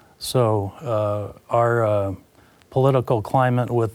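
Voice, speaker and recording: A man speaks with a Midwestern American accent and a fairly low pitch. His intonation stays fairly even. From Iowa, US Midwest. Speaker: commodities broker. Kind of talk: interview. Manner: halting, many fillers.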